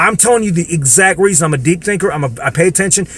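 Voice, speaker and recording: Against noticeable background noise, a man with an American accent speaks very fast in an animated tone, high-pitched and with ordinary pitch variation. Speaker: political commentator vlogger. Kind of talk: casual rant to camera. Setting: in the dark, self-recorded video.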